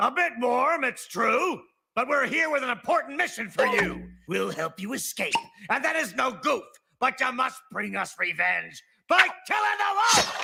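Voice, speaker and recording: A cartoonish character voice at a moderate pace. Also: man, extremely high pitch for a man. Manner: smug, rhyming.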